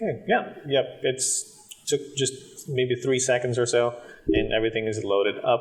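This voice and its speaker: A man's fairly slow speech comes through noticeable background noise. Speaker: tech reviewer. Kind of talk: tutorial. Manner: hesitant, many fillers; casual.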